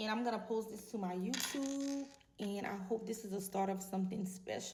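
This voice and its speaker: An ordinary speaking voice from a woman, fairly high in pitch, at a fairly quick pace with fairly even intonation. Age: 40s. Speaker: vlogger. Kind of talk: casual monologue to camera.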